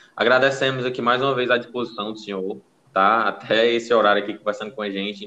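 His tone bright and sharp, a man races along at a very fast pace with a medium pitch and fairly even intonation. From Brazilian Northeast. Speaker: podcast host. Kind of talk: casual chat.

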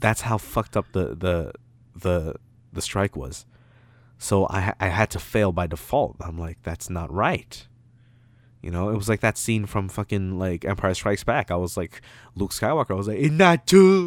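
On a very clean recording with a silent background and a dry, close sound with no echo, an animated voice with a Toronto accent moves at a moderate pace with ordinary pitch variation. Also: man, fairly low pitch for a man. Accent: Toronto urban English. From Toronto, Canada. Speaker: podcast host. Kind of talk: casual banter chat. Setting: home recording at night. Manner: animated, profane, joking.

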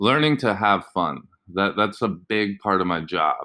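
On a very clean recording with a silent background, a man with an American accent talks in a bright, sharp tone. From Indonesia (international school, Jakarta). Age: 30s. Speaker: PE teacher and podcast host. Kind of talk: solo podcast monologue. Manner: casual, many fillers.

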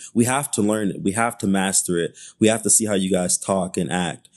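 Against a quiet background, a man with an American accent and a fairly low pitch speaks at a moderate pace with ordinary pitch variation. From Detroit, Michigan, US. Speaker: community activist. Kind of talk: casual interview. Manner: hesitant, many fillers.

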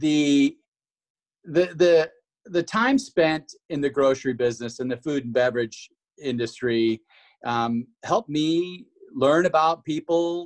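In an ordinary speaking voice with an American accent, a man talks at a fairly high pitch with ordinary pitch variation, the sound dry and close with no echo. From Washington. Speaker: chamber of commerce marketing staff. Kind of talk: casual interview.

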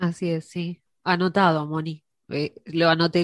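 A woman is speaking. Her voice sits at a fairly low pitch. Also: dry, close sound with no echo. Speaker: radio host. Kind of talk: interview.

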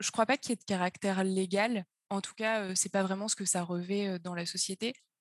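A woman of medium pitch speaks at a moderate pace with fairly even intonation, recorded dry and close with no echo. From France, Auvergne (Puy-de-Dôme). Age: 20s. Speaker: startup co-founder and finance chief. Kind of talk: interview. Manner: hesitant, many fillers.

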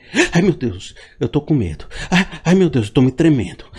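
In a put-on character voice, a man speaks at a moderate pace, fairly high-pitched and shaky, with very wide pitch swings. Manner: panicky, trembling, exaggerated.

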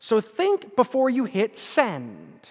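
A man speaks at an extremely high pitch, the sound dry and close with no echo. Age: 30s. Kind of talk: catechism class lecture. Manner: casual, joking.

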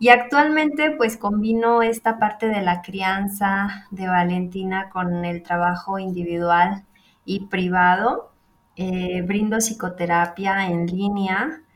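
Using ordinary pitch variation, a woman goes at a very slow pace. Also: medium pitch for a woman. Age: 30s. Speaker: psychotherapist and podcast co-host. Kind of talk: casual chat.

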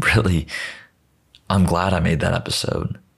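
A man at a very deep, low pitch, with vocal fry, ordinary pitch variation and a moderate pace. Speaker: podcast host. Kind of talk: solo monologue.

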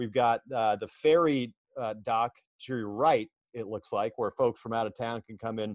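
A man with a plain, everyday voice talks at a moderate pace with ordinary pitch variation, in a dry, close sound with no echo. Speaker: minor league baseball broadcaster. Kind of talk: podcast interview. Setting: video call.

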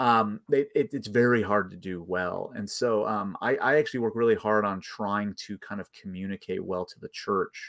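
A man with an American accent speaks at a moderate pace in an unremarkable speaking voice, fairly low in pitch, with fairly even intonation, big swings in loudness and hardly any pauses. The recording is very clean with a silent background. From US Midwest, Chicago suburbs. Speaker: theology professor. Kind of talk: casual interview.

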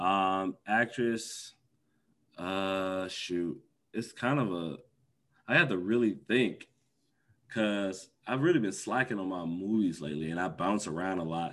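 There is a plain, everyday voice from a man with an American accent, fairly low in pitch, with ordinary pitch variation at a moderate pace. The background is quiet. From US Midwest, Milwaukee, Wisconsin. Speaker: former esports pro and content creator. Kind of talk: casual interview.

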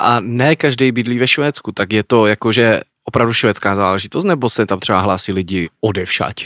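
On a very clean recording with a silent background and a dry, close sound with no echo, a man speaks in a plain, everyday voice at a fairly low pitch, with ordinary pitch variation, a fairly quick pace and hardly any pauses. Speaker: podcast co-host. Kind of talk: casual chat.

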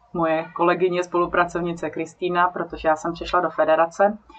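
A woman speaks in a fairly low pitch at a fairly quick pace. Noticeable background noise is present. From South Bohemia, Czechia. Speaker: nonprofit director. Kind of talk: interview.

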